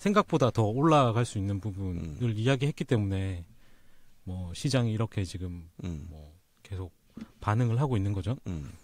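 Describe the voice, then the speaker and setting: A man's fairly low, normal speaking voice at a moderate pace, with lively intonation and big swings in loudness, in a very clean recording with a silent background. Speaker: finance team manager. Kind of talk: casual expert discussion on market selloff. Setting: recording studio.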